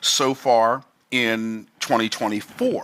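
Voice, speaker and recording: The speaker is a man at medium pitch. His tone is bright and sharp. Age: 60s. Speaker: business coach. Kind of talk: online teaching video. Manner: casual, many fillers.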